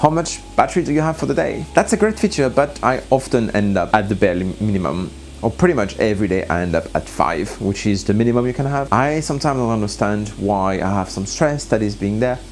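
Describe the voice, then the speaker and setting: Against noticeable background noise, a man talks at a very fast pace with hardly any pauses and very wide pitch swings. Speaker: scuba diver and gear reviewer. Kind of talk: product review vlog. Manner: halting.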